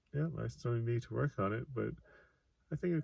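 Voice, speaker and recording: A man talks at a moderate pace. He is soft-spoken. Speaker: author and vlogger. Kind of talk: casual monologue vlog. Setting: self-recorded video. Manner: halting, pauses mid-sentence.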